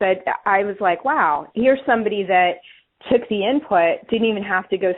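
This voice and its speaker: A woman with an American accent speaks at a medium pitch in an animated tone with lively intonation. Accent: East Coast US accent, comes back at times. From US East Coast. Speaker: author and leadership coach. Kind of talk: webinar talk.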